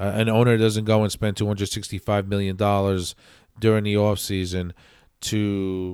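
Someone with an American accent speaks at a fairly slow pace with fairly even intonation, in a very clean recording with a silent background. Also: man. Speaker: podcast host and Mets fan. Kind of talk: solo sports podcast, angry rant about the Mets. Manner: impassioned, opinionated, emphatic; conversational, filler-heavy, stumbling.

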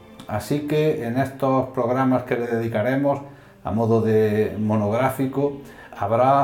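With audible room echo, a man talks at a very slow pace using fairly even intonation. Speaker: podcast host. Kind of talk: scripted narration. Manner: formal.

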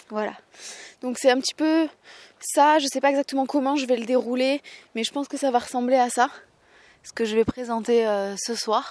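Speaking at a moderate pace with long, frequent pauses, a woman uses a high pitch and fairly even intonation, her loudness swinging widely in a dry, close sound with no echo. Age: 20s. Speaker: podcaster. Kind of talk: casual monologue. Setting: outdoors, walking. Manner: halting.

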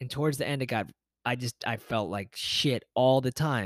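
A man with a normal speaking voice and medium pitch talks at a fairly quick pace, recorded dry and close with no echo against a silent, very clean background. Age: 30s. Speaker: podcast host and yoga teacher. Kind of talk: motivational solo podcast monologue. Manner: casual, conversational with fillers.

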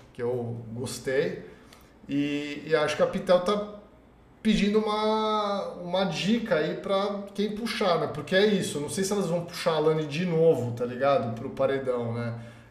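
The speaker talks at a fairly slow pace with lively intonation. There is audible room echo and noticeable background noise. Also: man, high pitch for a man. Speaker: live show commentator on reality TV. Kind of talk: casual live-stream chat. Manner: animated.

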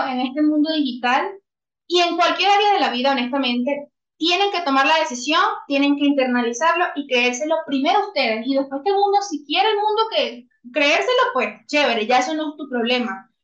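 This woman talks at a fairly quick pace in a Venezuelan accent. Her voice sits high in pitch. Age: 20s. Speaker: copywriter. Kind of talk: interview.

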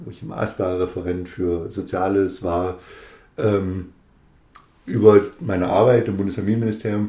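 A man speaks fairly slowly at a fairly low pitch with ordinary pitch variation. His tone is dark and mellow, and somewhat breathy. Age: 40s. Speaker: politician, district administrator candidate. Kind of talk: casual chat.

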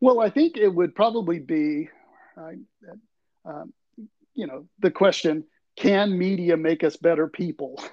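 A man with an American accent and a high voice speaks fairly slowly with ordinary pitch variation, leaving long, frequent pauses. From Tuscaloosa, Alabama, US South. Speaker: communication professor. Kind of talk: interview.

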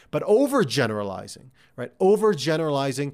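In a normal speaking voice, the speaker goes at a moderate pace on a very clean recording with a silent background. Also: man. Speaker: career coach and podcast host. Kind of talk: solo coaching talk. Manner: conversational, filler words; direct, motivational.

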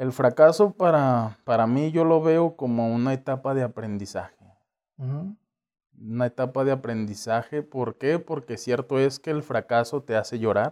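A man's medium-pitched voice with a dark, mellow tone, moderate pace and ordinary pitch variation over a quiet background. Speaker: communications graduate and sports enthusiast. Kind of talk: casual interview chat.

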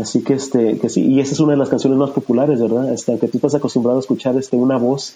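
A man talks at a very fast pace with hardly any pauses and very even loudness. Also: medium pitch for a man. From US-Mexico border region (Texas). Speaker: former coworker, music fan. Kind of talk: casual interview about favorite songs. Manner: halting, many fillers.

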